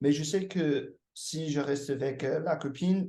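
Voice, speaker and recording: An English accent marks this man's dark, mellow tone. His voice is somewhat breathy and his pace fairly slow. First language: English (speaking French). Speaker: language learner. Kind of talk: casual chat. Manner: halting, many hesitations.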